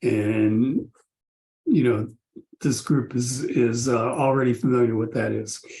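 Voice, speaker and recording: A man's medium-pitched, somewhat breathy voice with a dark, mellow tone, monotone and flat, at a fairly slow pace with long, frequent pauses. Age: 70s. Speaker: victim of an investment scheme. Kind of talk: testimony. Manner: halting.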